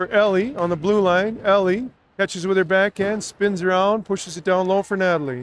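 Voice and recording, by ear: A man speaks with a high pitch at a fairly slow pace, his intonation fairly even. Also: dry, close sound with no echo.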